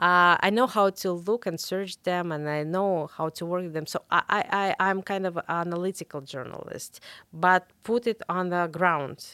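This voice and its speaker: With a Russian accent, a woman speaks in a fairly low, bright, sharp voice with fairly even intonation and hardly any pauses, recorded very cleanly, dry and close with no echo and a silent background. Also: moderate pace. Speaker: investigative journalist. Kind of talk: interview. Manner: halting, many fillers and repetitions.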